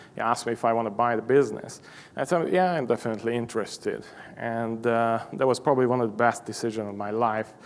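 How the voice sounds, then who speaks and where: A man speaks very fast with a Hungarian accent. His medium-pitched voice keeps a fairly even intonation. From Hungary. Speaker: machine shop owner. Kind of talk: conference presentation. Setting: stage with audience. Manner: halting, many fillers.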